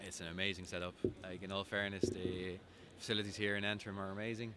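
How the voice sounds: Here a man talks fast in a low pitch with little pitch movement. His tone is bright and sharp.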